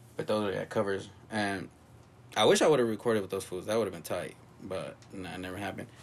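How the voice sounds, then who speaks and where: Very fast American-accented male speech with fairly even intonation and big swings in loudness. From Los Angeles (South Central and West LA). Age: 30s. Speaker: punk drummer. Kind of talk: casual chat.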